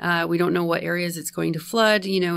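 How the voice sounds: A woman speaks at a fairly low pitch with vocal fry and little pitch movement. The recording is very clean, with a silent background.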